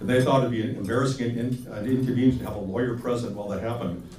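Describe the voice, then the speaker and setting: A man talks at a medium pitch with ordinary pitch variation. Noticeable background noise and audible room echo surround his voice. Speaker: attorney. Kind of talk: lecture. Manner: fast.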